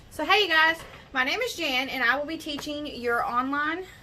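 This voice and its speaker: A woman's high, raised and projected voice with an American accent, lively intonation and audible room echo. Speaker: scout den leader. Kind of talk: online tutorial for children. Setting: online video. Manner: slow.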